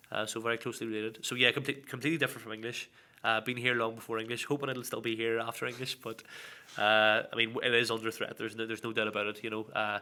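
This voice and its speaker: A man with an Irish accent speaks at a very fast pace. His tone is bright and sharp, his intonation monotone and flat. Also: medium pitch for a man. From Northern Ireland, Belfast. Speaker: Irish language teaching assistant. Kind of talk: casual interview.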